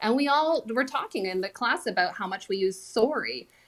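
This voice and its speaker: A woman with a Canadian accent and an unremarkable speaking voice talks at a moderate pace with lively intonation. The recording is very clean, with a silent background. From Canada. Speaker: former speech professor. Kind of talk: panel discussion.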